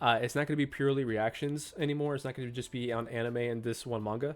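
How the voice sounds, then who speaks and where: This man talks at a very fast pace. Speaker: manga reaction youtuber. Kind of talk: casual chat to camera, video outro. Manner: casual, filler-heavy.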